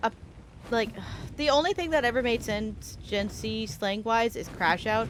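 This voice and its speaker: A woman's fairly high voice with lively intonation. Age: 20s. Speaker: gaming streamer. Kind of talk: casual chat. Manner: sounds young for her age.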